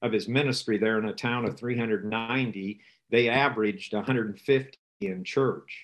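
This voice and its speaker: The background is quiet. A man speaks with a US Midwestern accent. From US Midwest, rural northeast Nebraska. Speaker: rural ministry trainer. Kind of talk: interview.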